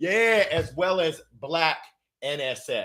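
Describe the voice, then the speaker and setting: Raised and projected, a man's high-pitched voice comes through with an animated, bright, sharp tone. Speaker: motivational speaker. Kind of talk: motivational talk.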